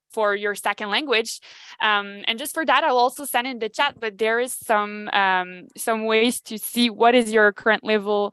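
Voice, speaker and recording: A woman with a French accent speaks at a moderate pace in a fairly high, bright and sharp voice, her intonation fairly even, the sound dry and close with no echo against a quiet background. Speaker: human resources advisor. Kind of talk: virtual Q&A webinar. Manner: halting, many fillers.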